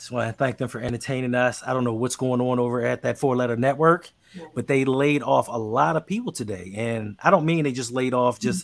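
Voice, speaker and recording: A man's medium-pitched voice at a very fast pace with hardly any pauses, ordinary pitch variation and big swings in loudness. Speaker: podcast host. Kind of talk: casual sports talk livestream. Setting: livestream on social media.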